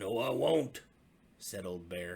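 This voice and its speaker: In a put-on character voice, a man growls out raspy, very deep, low tones with lively intonation. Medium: read story.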